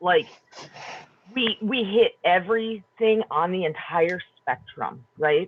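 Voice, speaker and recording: Someone with a Wisconsin accent speaks at a very slow pace. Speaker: panelist in community round table on homelessness. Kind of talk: round table discussion.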